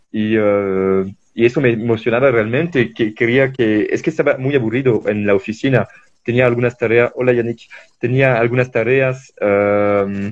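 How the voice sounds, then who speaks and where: The man's voice sits at a medium pitch, with fairly even intonation and a moderate pace. His loudness stays very even. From France. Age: 20s. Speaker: traveler and environmental volunteer. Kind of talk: interview. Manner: halting.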